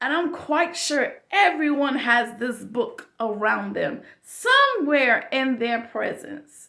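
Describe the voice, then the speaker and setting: In a raised, projected voice, a woman speaks with high pitch and lively intonation. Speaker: YouTube vlogger. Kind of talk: casual monologue. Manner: loud; chatty, informal.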